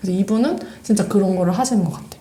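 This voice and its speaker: Noticeable background noise and audible room echo around a woman speaking with ordinary pitch variation. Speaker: podcast co-host. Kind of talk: casual chat. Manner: fast when excited.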